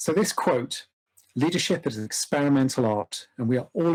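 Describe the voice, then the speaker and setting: With a British accent, a man of medium pitch talks at a moderate pace using lively intonation. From UK. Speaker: organization development practitioner. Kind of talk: lecture. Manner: formal.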